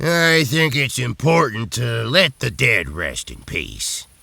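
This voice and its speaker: Using a put-on character voice, a man speaks at a fairly slow pace in a raspy, medium-pitched voice, with very wide pitch swings and big swings in loudness. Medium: video game. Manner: gruff, folksy, grumbling.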